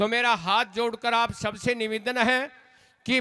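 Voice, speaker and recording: A man's raised, projected voice comes through with a bright, sharp tone. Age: 60s. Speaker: folk singer and religious speaker. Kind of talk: religious speech at a stage program.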